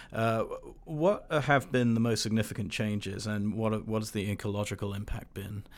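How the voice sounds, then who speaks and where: An unremarkable speaking voice from a man, fairly low in pitch, with fairly even intonation at a moderate pace on a very clean recording with a silent background. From abroad, moved to the US about 20 years ago. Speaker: university communications staff, podcast host. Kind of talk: interview. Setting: on a university campus.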